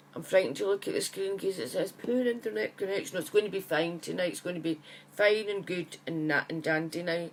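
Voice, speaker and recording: Woman with a Scottish accent, medium pitch, fairly quick pace. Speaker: psychic medium. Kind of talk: casual live chat to viewers. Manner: chatty, friendly.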